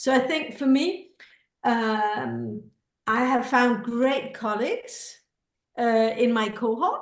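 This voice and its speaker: A high-pitched woman's voice at a very slow pace, with audible room echo. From Scandinavia. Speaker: creativity educator and author. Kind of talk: testimonial in info session.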